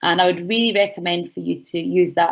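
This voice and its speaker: In a Scottish accent, a woman speaks at a fairly quick pace with lively intonation. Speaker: university enterprise educator. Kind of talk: online workshop Q&A. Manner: fast; animated.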